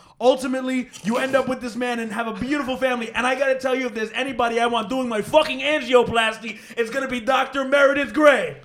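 Over noticeable background noise, a man with an extremely high pitch talks very fast in a flat monotone, hardly pausing. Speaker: comedian. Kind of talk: casual chat.

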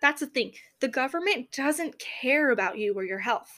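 A woman speaks in an American accent at a moderate pace and high pitch. The recording is very clean with a silent background. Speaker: podcast host. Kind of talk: opinion monologue. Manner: halting, frequent self-corrections.

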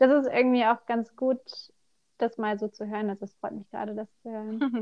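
This woman has a dark, mellow tone and fairly high pitch at a moderate pace. The sound is dry and close, with no echo. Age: 20s. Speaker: self-employed seamstress of vaulting costumes. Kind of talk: casual interview.

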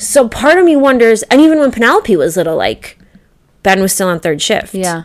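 The speaker has a Midwestern American accent and a moderate pace. The pitch swings very widely. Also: woman. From US Midwest. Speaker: podcast co-host. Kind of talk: casual chat.

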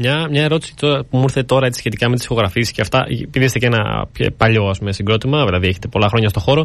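Very fast man's speech at a medium pitch, with very even loudness, hardly any pauses and ordinary pitch variation. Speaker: student radio host. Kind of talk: radio interview. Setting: studio.

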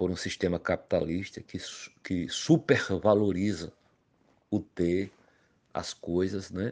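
Against a quiet background, a man speaks at a very slow pace in a very deep, low pitch, his tone dark and mellow and his intonation fairly even. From Paraíba backlands, northeast Brazil. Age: 50s. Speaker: master craftsman, toy maker. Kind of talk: recorded personal testimony. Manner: hesitant, many fillers and repetitions.

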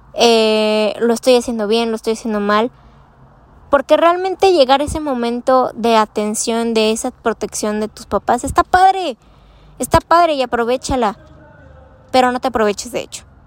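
A woman's high, shrill voice at a moderate pace. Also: lively intonation, big swings in loudness. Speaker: podcast host. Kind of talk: casual monologue. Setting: outdoors outside a school. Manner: halting.

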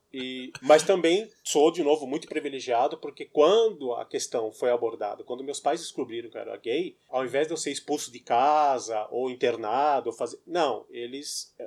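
A man with a normal speaking voice talks at a moderate pace, fairly high in pitch with ordinary pitch variation. He leaves hardly any pauses, and his loudness swings widely. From Brazil, São Paulo. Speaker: writer. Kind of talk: casual chat.

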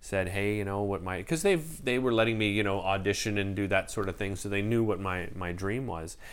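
Audible room echo surrounds a man with a Canadian accent. His voice is fairly low-pitched, with fairly even intonation. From Ottawa, Canada. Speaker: TV host. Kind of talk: interview.

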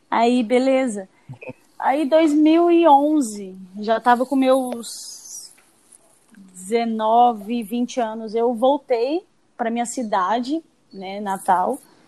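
A woman speaks in a high, dark and mellow voice with ordinary pitch variation. Her pace is very slow, with long, frequent pauses. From Espírito Santo, Brazil. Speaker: football goalkeeper. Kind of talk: interview.

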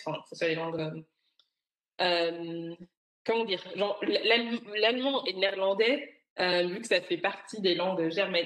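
A woman speaks at medium pitch with lively intonation. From Belgium (Brussels), Rwandan roots. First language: Kinyarwanda (speaking French). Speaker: tech professional, expat. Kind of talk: interview conversation.

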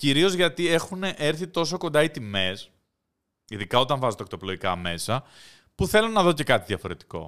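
The voice moves at a moderate pace with vocal fry and very wide pitch swings, on a very clean recording with a silent background. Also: man, fairly high pitch for a man. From Greece. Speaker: podcast host. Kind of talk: casual chat.

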